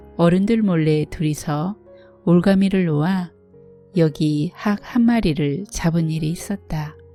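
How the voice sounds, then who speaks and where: A woman's fairly low voice at a very slow pace, with ordinary pitch variation and music in the background. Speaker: audiobook narrator. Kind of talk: literary fiction reading. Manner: soft-spoken.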